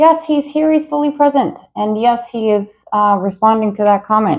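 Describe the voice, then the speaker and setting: Loud and animated, a woman speaks at a fairly slow pace with very wide pitch swings. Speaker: tarot reader. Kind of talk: tarot reading.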